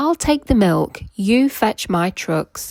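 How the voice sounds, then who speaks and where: A put-on character voice, female-sounding and fairly high in pitch, at a very slow pace. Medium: read story. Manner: thoughtful, kindly.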